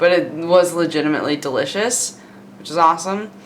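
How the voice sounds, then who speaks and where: This woman talks at a fairly quick pace with a fairly low pitch, lively intonation and an upbeat tone. Noticeable background noise sits behind her. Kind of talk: casual vlog talk to camera. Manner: casual, chatty, upbeat.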